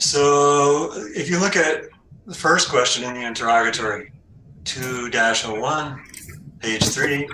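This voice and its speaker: A man at a fairly slow pace, with ordinary pitch variation, long, frequent pauses, audible room echo and noticeable background noise. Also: fairly high pitch for a man, big swings in loudness. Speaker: cross-examining party. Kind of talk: cross-examination in regulatory hearing.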